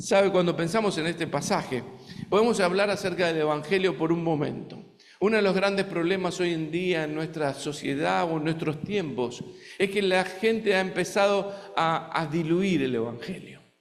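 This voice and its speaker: With a slight Argentine accent, a man speaks at a moderate pace in a high pitch, his pitch varying normally, over noticeable background noise and audible room echo. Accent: Argentine Spanish, somewhat. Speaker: visiting preacher. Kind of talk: sermon. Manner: halting, many fillers.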